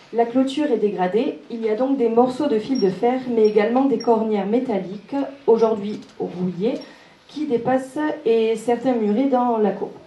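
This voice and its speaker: A woman with a fairly high voice speaks at a fairly slow pace with ordinary pitch variation over noticeable background noise. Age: 20s. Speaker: local election candidate, beautician. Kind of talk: reading prepared statement.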